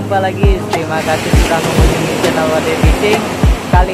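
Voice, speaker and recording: A man's voice sounds dry with no echo. Music plays in the background. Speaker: fishing vlogger. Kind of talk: casual vlog chat. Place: beach. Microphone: phone near.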